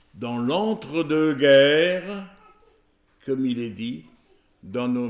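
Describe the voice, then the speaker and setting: A man's medium-pitched voice with very wide pitch swings, in audible room echo. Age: 80s+. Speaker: preacher. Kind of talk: sermon.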